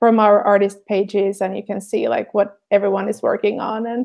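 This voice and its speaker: With a Finnish accent, a woman speaks at medium pitch. Her pace is moderate. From Finland. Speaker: artist and show host. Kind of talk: casual chat. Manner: halting, many fillers.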